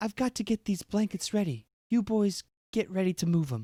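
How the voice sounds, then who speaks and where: A put-on character voice at a middle pitch and moderate pace. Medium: read story.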